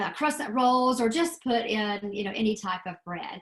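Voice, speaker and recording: The speech comes with a Southern US accent at a moderate pace. The voice is somewhat breathy. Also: woman. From US South. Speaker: extension educator. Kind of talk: webinar presentation. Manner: casual, lots of fillers.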